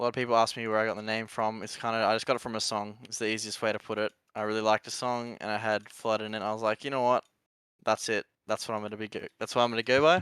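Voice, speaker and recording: Speaking at a very fast pace with an Australian accent, a man uses a fairly low pitch and a monotone, flat intonation. The recording is very clean, with a silent background and a dry, close sound with no echo. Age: 20s. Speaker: esports pro player. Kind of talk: podcast interview.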